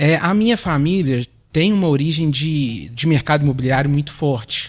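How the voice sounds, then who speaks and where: Speaking at a moderate pace, a man with a fairly high voice keeps his loudness very even while his pitch varies in an ordinary way. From Minas Gerais, Belo Horizonte. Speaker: lawyer and real estate business partner. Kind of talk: podcast interview.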